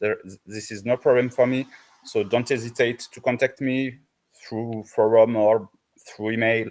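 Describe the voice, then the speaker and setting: A man speaks at a medium pitch. He has a French accent. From south of France. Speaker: volunteer map editor on partner team. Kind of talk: online community meeting, casual feedback. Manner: halting, many fillers and restarts.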